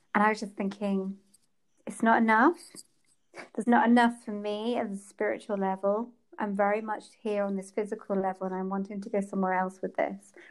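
A woman with an English accent speaks at a fairly quick pace in a medium pitch, her intonation monotone and flat. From England. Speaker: period and fertility coach. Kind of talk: interview.

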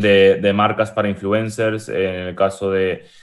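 A man speaks here. His pace is fairly slow. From Spain, moved from Uruguay at age 6. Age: 20s. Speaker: e-commerce entrepreneur. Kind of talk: casual interview chat.

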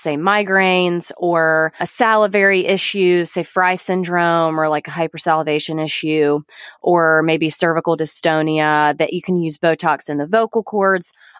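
Speaking in a normal speaking voice at a moderate pace, a woman with a fairly low pitch comes through a very clean recording with a silent background and a dry, close sound free of echo. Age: 30s. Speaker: nurse practitioner. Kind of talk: casual interview.

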